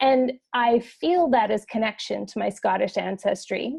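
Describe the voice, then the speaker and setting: A woman's high pitch with a dark, mellow tone at a fairly slow pace. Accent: Canadian. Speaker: podcast host. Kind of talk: casual interview conversation.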